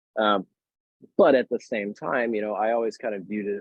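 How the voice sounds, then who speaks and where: Fairly low male voice with ordinary pitch variation. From Worcester, Massachusetts. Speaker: bartender, beverage director. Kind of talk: podcast interview answer.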